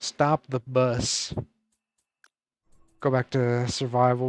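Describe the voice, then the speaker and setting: Over music in the background, a man speaks at a medium pitch in a dry, close sound with no echo. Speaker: gaming streamer. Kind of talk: casual live stream chat. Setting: live stream.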